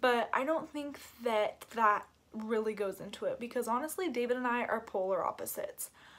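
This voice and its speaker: In a very clean recording with a silent background, a woman speaks. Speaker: YouTuber, mother. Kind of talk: casual vlog talk. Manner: loud, animated.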